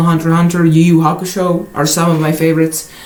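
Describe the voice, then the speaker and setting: A man's fairly high voice, with noticeable background noise and audible room echo. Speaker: vlogger. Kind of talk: casual chat. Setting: his bedroom. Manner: halting.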